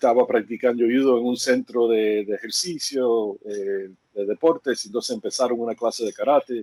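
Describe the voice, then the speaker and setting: Dark and mellow, a man's medium-pitched voice moves at a moderate pace with fairly even intonation and hardly any pauses, recorded dry and close with no echo. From Cuba, moved to the US as a child. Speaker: karate teacher. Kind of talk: interview. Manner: halting.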